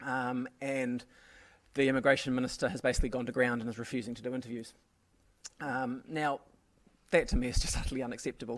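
At a fairly quick pace, a man with a New Zealand accent speaks in a medium pitch with monotone, flat intonation. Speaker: radio journalist, editor; radio journalist. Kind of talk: panel discussion. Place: stage. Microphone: podium.

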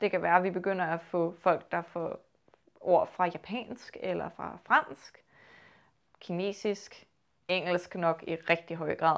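In a Copenhagen accent, a woman talks at a fairly slow pace, with long, frequent pauses. The background is quiet. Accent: low Copenhagen Danish. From Copenhagen, Denmark; Denmark. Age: 20s. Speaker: linguistics student. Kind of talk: interview. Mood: calm, thoughtful. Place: home room. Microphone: lapel.

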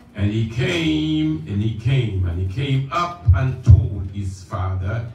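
With music in the background and audible room echo, a man talks at a very slow pace with ordinary pitch variation. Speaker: preacher. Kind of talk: sermon. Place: church. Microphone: camera far.

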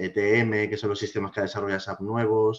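A man with fairly even intonation. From Spain, Alicante; Spain. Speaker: IT specialist and blogger; podcast guest. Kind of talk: casual interview chat. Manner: halting, many fillers. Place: home room. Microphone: video call.

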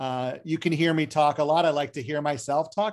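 Over a quiet background, a man speaks at a fairly quick pace. His pitch shifts in an ordinary way. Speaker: session host. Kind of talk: hosting welcome remarks. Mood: friendly, self-deprecating humor. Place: home room. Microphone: video call.

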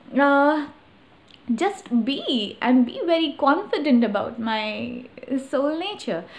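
At a very slow pace, a woman speaks. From Patna, Bihar, India. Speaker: poet. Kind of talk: casual talk to camera. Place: home room. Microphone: phone near.

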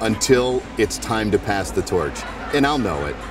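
Music plays in the background as a man speaks in a booming voice with lively intonation. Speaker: arena PA announcer. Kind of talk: interview answer.

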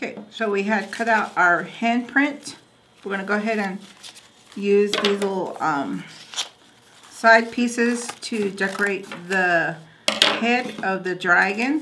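Long, frequent pauses break up a very slow pace. Noticeable background noise sits behind the speech. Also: woman, ordinary pitch variation. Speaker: craft instructor. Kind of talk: tutorial. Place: studio.

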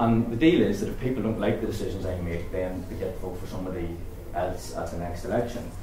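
Over noticeable background noise and audible room echo, a man with a Northern Irish accent speaks at a very fast pace in a very deep, low pitch with ordinary pitch variation. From Northern Ireland, border area. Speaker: politician; politician addressing a meeting. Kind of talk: public speech at a constituency meeting. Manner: halting, with frequent repetitions and fillers. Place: meeting room. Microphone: camera far.

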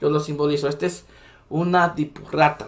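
A man with a Salvadoran accent, animated in tone, at a moderate pace. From El Salvador. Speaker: political commentary YouTuber. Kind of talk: political commentary monologue. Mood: indignant, critical.

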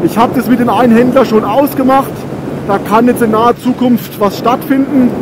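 Noticeable background noise runs under a man's extremely high-pitched voice. He speaks at a moderate pace in a monotone, flat intonation with very even loudness. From Germany, Rhön region (Franconia). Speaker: motorcycle YouTuber. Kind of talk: motovlog while riding. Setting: on a motorcycle outdoors.

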